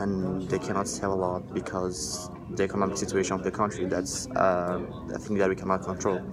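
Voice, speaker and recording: Against music in the background and audible room echo, a man with a very deep, low pitch talks at a fairly quick pace in monotone, flat intonation. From Brazil. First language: Portuguese. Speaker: college student. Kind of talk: class discussion. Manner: halting, with many fillers.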